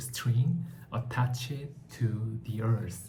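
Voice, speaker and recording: Very slow and somewhat breathy, a man speaks at a medium pitch with a dark, mellow tone, and the room echo is audible. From South Korea. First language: Korean. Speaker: book vlogger. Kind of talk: book review talk. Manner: halting, many fillers.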